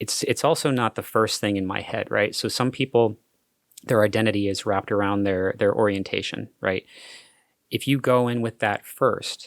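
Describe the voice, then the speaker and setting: An American-accented man in a serious tone, fairly low pitch and fairly even intonation, with a dry, close sound with no echo on a very clean recording, silent background. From Florida. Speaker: hotel manager. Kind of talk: podcast interview. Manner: lowers voice at work to sound serious; halting with repetitions.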